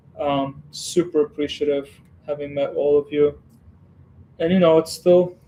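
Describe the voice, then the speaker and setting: In a dark, mellow tone at a fairly high pitch, a man talks at a moderate pace with a monotone, flat intonation and long, frequent pauses. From western Ukraine. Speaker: Lego streamer. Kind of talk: casual livestream chat. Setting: home Lego room. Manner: relaxed, hesitant with fillers.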